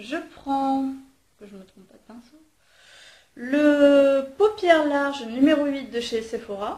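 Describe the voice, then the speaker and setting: Very slow and broken by long, frequent pauses, a woman's voice with a high pitch and dark, mellow tone shows ordinary pitch variation and big swings in loudness, with audible room echo. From southern France, Marseille. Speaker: beauty vlogger. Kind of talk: makeup tutorial. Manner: hesitant, many fillers.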